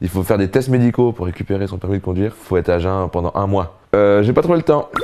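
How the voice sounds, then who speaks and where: Talking very fast in a fairly low voice, the man is heard over noticeable background noise. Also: ordinary pitch variation. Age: 30s. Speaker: comedian. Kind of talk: casual interview.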